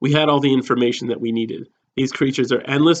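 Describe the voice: Someone reads aloud plainly. The background stays quiet.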